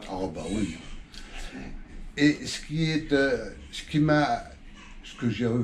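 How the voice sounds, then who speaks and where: A man's fairly high voice carries lively intonation against noticeable background noise. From northern France, Le Havre (Normandy). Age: 70s. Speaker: local historian. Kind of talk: casual interview. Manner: halting.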